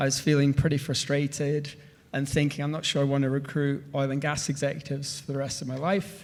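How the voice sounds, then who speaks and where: A man with a Scottish accent and monotone, flat intonation. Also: fairly high pitch for a man, fairly quick pace. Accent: Scottish, noticeable. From northern Scotland. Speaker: energy entrepreneur, former executive recruiter. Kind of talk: panel presentation.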